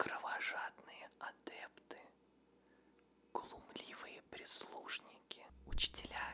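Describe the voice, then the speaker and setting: The speaker is whispering. The pace is very slow. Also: man. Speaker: ASMR creator, former teacher. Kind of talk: ASMR trigger words on patriotic themes. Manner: whispered, soft. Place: studio. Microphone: studio mic.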